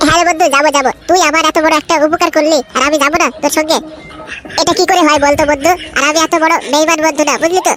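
Background noise is clearly audible. A cartoonish character voice rattles along at a very fast pace. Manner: emotional, repetitive.

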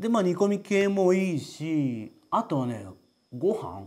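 A man speaks in a dark, mellow tone, his pitch swinging very widely against a quiet background. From Japan. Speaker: potter presenting his own work. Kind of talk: casual product introduction video. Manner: casual, conversational. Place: studio. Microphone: lapel.

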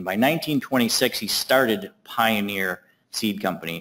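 A man speaks at a very slow pace. His pitch is fairly low, with ordinary variation. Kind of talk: lecture. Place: hall.

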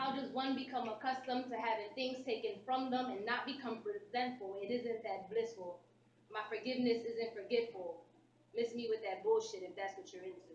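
A woman speaks at a fairly quick pace with a fairly high pitch and ordinary variation, amid audible room echo and light background noise. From US Northeast, Philadelphia. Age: 20s. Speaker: spoken word poet. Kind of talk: spoken word performance. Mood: intense, reflective, defiant. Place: hall. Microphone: camera far.

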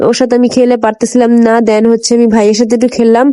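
A woman's high-pitched voice. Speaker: lifestyle vlogger. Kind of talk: vlog narration. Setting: outdoors at a zoo. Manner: animated.

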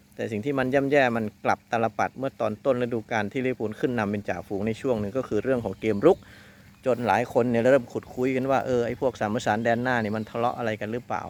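An unremarkable speaking voice from a man, with fairly even intonation. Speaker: football commentator and analyst host. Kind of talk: football match preview, casual talk to camera.

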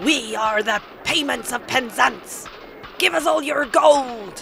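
A man puts on a character voice with an extremely high pitch, going at a fairly slow pace amid clear background noise. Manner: loud, blustering.

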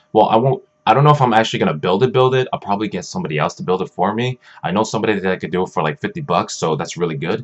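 Very wide pitch swings from a man's fairly low voice at a very fast pace. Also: quiet background. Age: 20s. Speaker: gaming YouTuber. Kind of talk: casual vlog update. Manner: halting, many fillers. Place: home room. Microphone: webcam.

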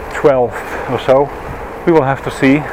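A man with a Dutch accent at a fairly slow pace, flat and monotone, in a dry recording with no echo but noticeable background noise. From Netherlands. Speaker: vlogger. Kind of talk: vlog narration while cycling. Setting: outdoors on a bicycle. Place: bicycle. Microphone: helmet.

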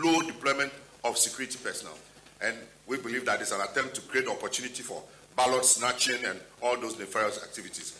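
Very fast speech comes from a man. His pitch variation is ordinary. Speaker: party spokesperson. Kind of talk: press conference statement. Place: hall. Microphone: podium.

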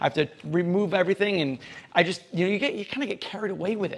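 Talking at a very fast pace, a man speaks in a high pitch. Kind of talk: casual vlog chat. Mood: upbeat, reflective.

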